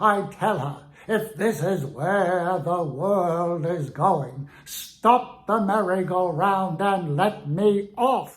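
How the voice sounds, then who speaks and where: A man puts on a character voice pitched high. His tone is pompous. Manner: pompous, indignant.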